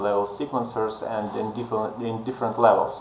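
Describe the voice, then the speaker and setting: A man's moderate pace comes through audible room echo and noticeable background noise. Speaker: game developer, plugin creator. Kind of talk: tutorial. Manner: halting, many fillers.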